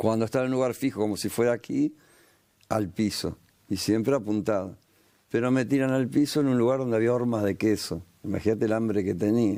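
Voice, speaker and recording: In a very clean recording with a silent background, a man with a Rioplatense accent talks at a fairly quick pace in a medium pitch, with a dark, mellow tone, ordinary pitch variation and very even loudness. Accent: Argentine Rioplatense Spanish. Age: 60s. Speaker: war veteran and pastor. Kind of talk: testimony interview. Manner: animated storytelling.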